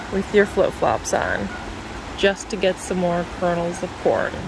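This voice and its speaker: The speech moves at a very slow pace. Noticeable background noise is present. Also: dry sound with no echo. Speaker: RV travel vlogger. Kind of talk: casual vlog chat. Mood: playful, teasing. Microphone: phone near.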